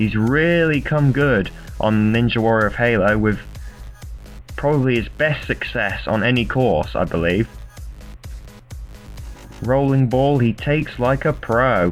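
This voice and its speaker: Over music in the background, a man at medium pitch talks at a fairly slow pace with long, frequent pauses, very even loudness and ordinary pitch variation. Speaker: video game tournament commentator. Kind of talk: sports-style game commentary.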